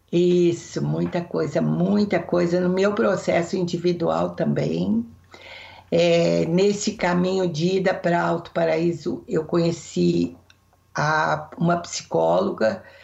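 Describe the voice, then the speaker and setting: A woman's very slow speech at very even loudness. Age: 60s. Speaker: therapist. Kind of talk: interview.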